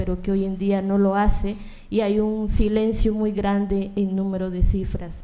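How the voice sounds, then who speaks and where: A woman's dark, mellow voice at a medium pitch, fairly slow and monotone, with audible room echo. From Colombia. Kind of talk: panel talk.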